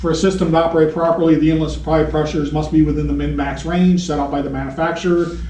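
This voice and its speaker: Talking very fast with hardly any pauses, a man is heard amid audible room echo and noticeable background noise. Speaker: HVAC technical trainer. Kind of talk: technical training lecture.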